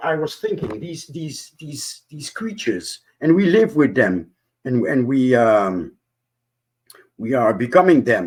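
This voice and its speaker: A man with a non-native accent talks fairly slowly in a medium pitch, making very wide pitch swings. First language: not English. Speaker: panelist on discussion show. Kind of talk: casual group discussion. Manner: halting, many repetitions and fillers.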